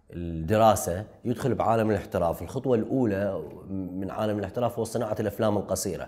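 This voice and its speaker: A man talks at a fairly quick pace over a quiet background. His voice is fairly low, with a dark, mellow tone. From southern Iraq (Nasiriyah, Dhi Qar); Iraq. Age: 30s. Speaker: film director; guest. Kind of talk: interview. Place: studio. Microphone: lapel.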